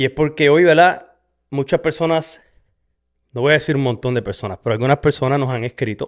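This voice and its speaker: Here a man with a fairly high voice talks at a very fast pace. His pitch varies in an ordinary way. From Puerto Rico, west (Sabana Grande). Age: 40s. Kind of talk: testimony. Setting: in front of a camera. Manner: halting, many fillers.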